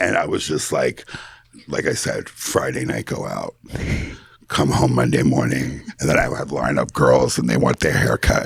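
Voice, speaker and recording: A man talks at a moderate pace in an animated tone, with noticeable background noise behind him. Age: 60s. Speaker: hairdresser and former party figure. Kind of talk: casual chat.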